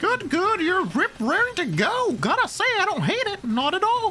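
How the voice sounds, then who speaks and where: An extremely high, put-on character voice moves at a moderate pace. Background noise is clearly audible. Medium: actual play. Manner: playful, theatrical.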